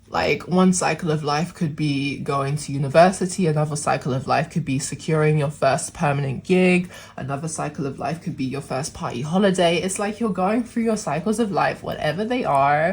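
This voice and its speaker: A woman's very deep, low, somewhat breathy voice at a fairly quick pace with hardly any pauses and ordinary pitch variation, on a very clean recording with a silent background. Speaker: tarot reader. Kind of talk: tarot reading to camera. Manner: casual, chatty.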